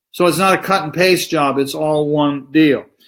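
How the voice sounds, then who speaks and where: A man with an American accent speaks at a moderate pace. His pitch is fairly high. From United States. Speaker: spiritual teacher. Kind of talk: lecture. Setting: live online stream.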